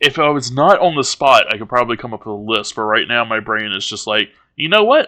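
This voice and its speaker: A man with a Southern US accent, medium pitch, a bright, sharp tone, ordinary pitch variation and a moderate pace. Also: very clean recording, silent background. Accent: Southern American. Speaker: streamer. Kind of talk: casual chat.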